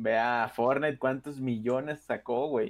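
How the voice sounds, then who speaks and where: Speaking at a fairly slow pace, a man uses a plain, everyday voice with medium pitch and ordinary pitch variation. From Mexico. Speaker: podcast co-host. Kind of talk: casual chat.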